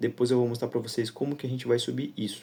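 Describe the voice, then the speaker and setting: A man speaks with a dark, mellow tone. His pitch sits in the medium range. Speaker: digital marketing instructor. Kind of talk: tutorial.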